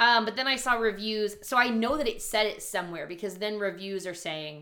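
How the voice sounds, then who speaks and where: Over a very clean recording with a silent background, a woman talks at a fairly quick pace. Her tone is bright and sharp, with ordinary pitch variation. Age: 20s. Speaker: podcast co-host. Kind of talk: casual chat.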